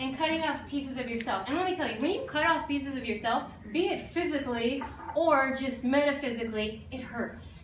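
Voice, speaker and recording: A woman speaks in a high voice with ordinary pitch variation. Audible echo fills the room. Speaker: life coach. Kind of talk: talk to an audience. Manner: fast; animated.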